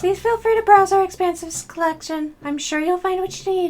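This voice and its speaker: This put-on character voice is squeaky and extremely high in pitch, moving at a fairly quick pace. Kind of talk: formal, polite, salesy.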